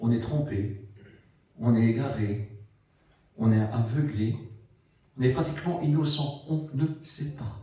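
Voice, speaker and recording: In a room with audible echo, a man speaks at a very slow pace with long, frequent pauses, his somewhat breathy voice dark and mellow. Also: medium pitch for a man, ordinary pitch variation. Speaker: preacher. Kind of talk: sermon. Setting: church.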